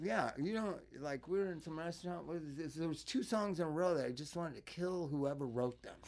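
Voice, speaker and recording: With an American accent, a man uses a normal speaking voice at a fairly high pitch, showing ordinary pitch variation and hardly any pauses. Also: fairly quick pace. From Los Angeles suburbs. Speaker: singer and drug counselor. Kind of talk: casual chat.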